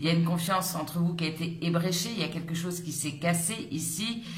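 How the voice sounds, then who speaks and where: Amid audible room echo and noticeable background noise, a woman speaks at a fairly quick pace and a fairly low pitch, with fairly even intonation. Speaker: tarot reader. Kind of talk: tarot reading. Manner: halting, hesitant.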